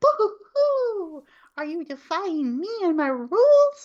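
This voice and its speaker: A woman talks very slowly in a put-on character voice pitched extremely high. Her pitch swings very widely. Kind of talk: playful, sing-song. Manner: mocking, taunting.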